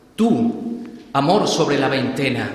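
There is noticeable noise in the background. A man talks with ordinary pitch variation. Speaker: pregonero giving a Holy Week address. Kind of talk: solemn pregón, declaimed poetic verse with rhythmic, rhymed cadence. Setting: stage with audience, church theatre. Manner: rhetorical, elevated, lyrical, measured and emphatic delivery.

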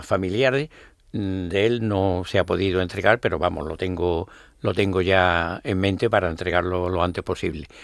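A man's very deep, low voice at a fairly slow pace with fairly even intonation, on a very clean recording with a silent background. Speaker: brotherhood leader and election candidate. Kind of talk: radio interview. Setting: radio studio. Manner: halting.

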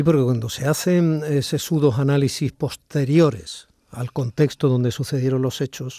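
A man's somewhat breathy, dark and mellow voice at medium pitch, with ordinary pitch variation, in a dry, close sound with no echo. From Basque Country (Cruces, Barakaldo). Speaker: radio host. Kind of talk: radio interview. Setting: studio with a COVID screen.

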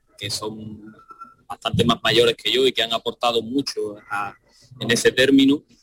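The sound is dry and close with no echo as a man speaks at a very slow pace. His pitch is medium, with ordinary pitch variation. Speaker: percussionist. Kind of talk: radio interview.

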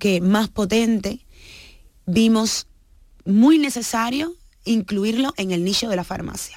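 A woman's voice with ordinary pitch variation, in a very clean recording with a silent background. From Cuba, of Guinea-Bissau parents. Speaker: business founder. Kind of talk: radio interview.

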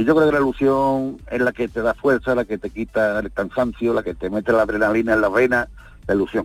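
Fairly quick and fairly even in intonation, a man speaks in an ordinary speaking voice. His pitch is medium. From Andalusia. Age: 60s. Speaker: veteran rally driver. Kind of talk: radio interview.

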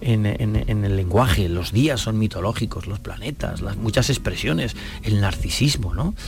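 A man's fairly low-pitched voice with audible room echo and noticeable background noise. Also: ordinary pitch variation, moderate pace. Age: 60s. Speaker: classics professor and author. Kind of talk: interview.

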